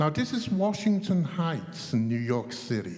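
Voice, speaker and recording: A man with a fairly high pitch and a dark, mellow tone speaks at a fairly slow pace, his intonation lively. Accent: English. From England. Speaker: chess teacher trainer. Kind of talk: panel discussion. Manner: animated.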